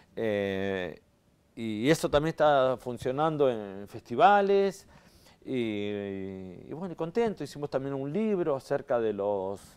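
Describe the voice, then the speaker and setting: Very wide pitch swings mark this man's medium-pitched voice. He speaks at a very slow pace. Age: 60s. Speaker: actor and theatre director; actor. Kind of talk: interview. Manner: hesitant, many fillers. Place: studio. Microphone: lapel.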